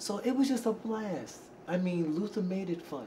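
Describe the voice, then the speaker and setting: A man's voice comes through with clear background noise and audible echo from the room. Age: 60s. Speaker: R&B singer and backup vocalist. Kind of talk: interview.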